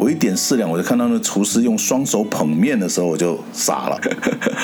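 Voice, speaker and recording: A man talks at a very fast pace. Noticeable background noise runs under his speech. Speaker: podcast host. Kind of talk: casual chat.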